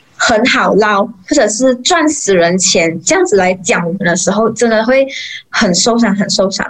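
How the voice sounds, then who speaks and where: This woman speaks at a moderate pace with lively intonation and a fairly high pitch. Her loudness stays very even over noticeable background noise. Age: 20s. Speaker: mortician and funeral emcee. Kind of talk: interview.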